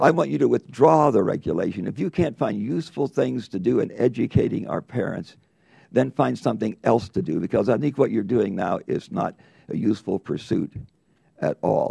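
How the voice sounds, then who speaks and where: Vocal fry runs through a man's medium-pitched voice, which has a dark, mellow tone and very wide pitch swings. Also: moderate pace, dry, close sound with no echo. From US, rural farm. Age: 80s+. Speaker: congressman. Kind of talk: committee hearing questioning. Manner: emphatic.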